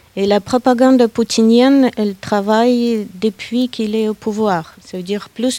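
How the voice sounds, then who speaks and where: A woman with a Russian accent speaks at a very slow pace, her fairly high pitch carrying a dark, mellow tone and ordinary variation. The sound is dry and close, with no echo. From Russia, Saint Petersburg. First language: Russian (speaking French). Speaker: guest speaker. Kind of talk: panel discussion.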